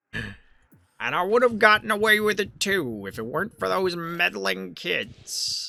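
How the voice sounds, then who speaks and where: Using a put-on character voice, a man talks at a fairly slow pace in a high pitch with hardly any pauses. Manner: theatrical, menacing.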